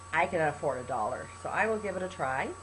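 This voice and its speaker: Over noticeable background noise, a woman talks at a fairly quick pace in an animated tone. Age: 60s. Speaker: health testimonial vlogger. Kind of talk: testimony.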